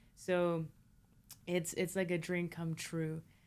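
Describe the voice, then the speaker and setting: In a very clean recording with a silent background, a woman talks with a Spanish accent. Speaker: filmmaker and producer. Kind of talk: interview conversation.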